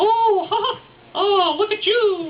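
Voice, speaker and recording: Using a put-on character voice, a woman squeaks at an extremely high pitch. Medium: stage play. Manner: coy, flirtatious.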